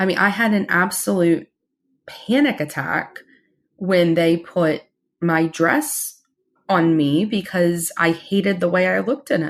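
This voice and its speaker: A woman's fairly low voice with lively intonation at a fairly slow pace, over a quiet background. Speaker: podcast co-host. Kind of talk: casual chat. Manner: loud; animated.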